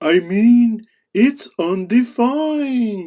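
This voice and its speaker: A cartoonish character voice pitched fairly high. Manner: solemn, declamatory.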